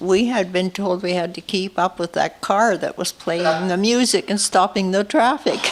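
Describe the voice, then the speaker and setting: Over noticeable background noise, a woman of medium pitch talks at a moderate pace with ordinary pitch variation and hardly any pauses. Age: 70s. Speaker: interviewee. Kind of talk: interview.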